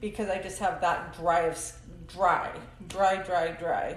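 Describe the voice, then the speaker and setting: There is audible room echo and noticeable background noise. Through it, a woman talks fairly slowly. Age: 40s. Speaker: hairstylist. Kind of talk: casual chat.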